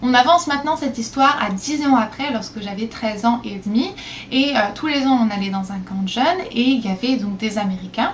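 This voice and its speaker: A woman with a fairly high pitch and lively intonation, talking at a fairly quick pace over noticeable background noise. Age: 20s. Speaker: vlogger. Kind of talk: casual vlog talk. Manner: hesitant with frequent fillers.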